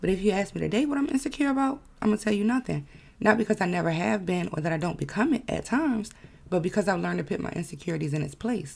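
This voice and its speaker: Talking at a very fast pace with vocal fry, a woman of medium pitch makes very wide pitch swings. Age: 20s. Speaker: podcast host. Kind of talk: monologue podcast. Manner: casual, conversational.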